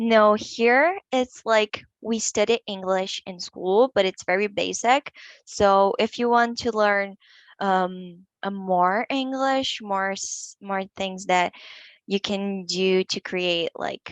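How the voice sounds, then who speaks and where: In a Portuguese accent, a woman speaks at a very slow pace with fairly even intonation. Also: medium pitch for a woman. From Brazil, São Paulo. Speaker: English learner. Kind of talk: interview.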